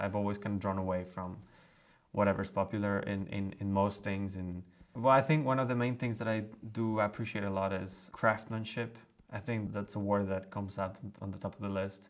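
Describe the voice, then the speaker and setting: A man with a Spanish accent speaks in a relaxed tone, his fairly low voice moving with fairly even intonation. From Colombia. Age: 20s. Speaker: cellist. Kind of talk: interview. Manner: relaxed, with hesitations.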